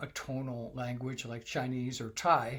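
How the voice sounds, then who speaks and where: This man's voice sits at a fairly high pitch and sounds somewhat breathy. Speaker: English test coach for medical graduates. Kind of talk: tutorial.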